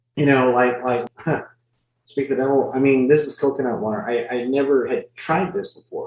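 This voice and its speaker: With a normal speaking voice, a man talks at a fairly high pitch with fairly even intonation. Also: moderate pace. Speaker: ring announcer. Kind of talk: interview answer.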